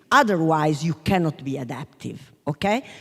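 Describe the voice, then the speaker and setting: A woman with a southern Italian accent, a very deep, low pitch and a fairly slow pace. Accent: Taranto Italian accent in English. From Taranto, southern Italy. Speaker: business school professor. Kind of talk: panel talk. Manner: halting.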